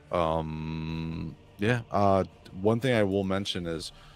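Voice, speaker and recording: A man's very deep, low voice with fairly even intonation, music playing in the background. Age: 40s. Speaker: live stream host, toy collector YouTuber. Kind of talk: casual chat.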